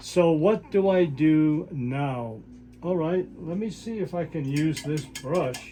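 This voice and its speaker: A man speaks very slowly at a fairly high pitch. His tone is dark and mellow, with ordinary pitch variation. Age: 80s+. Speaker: art teacher. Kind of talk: tutorial. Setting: home studio. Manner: halting, many fillers.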